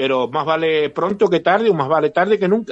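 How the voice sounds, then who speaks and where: Someone male speaks here, his pitch fairly high. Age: old. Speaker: panelist. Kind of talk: radio panel discussion.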